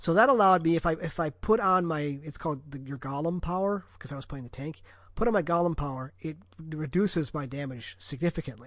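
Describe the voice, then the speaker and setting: A man with a fairly high voice talks at a fairly quick pace, his loudness swinging widely and his pitch varying in an ordinary way over a quiet background. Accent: American. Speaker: podcast host. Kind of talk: casual chat.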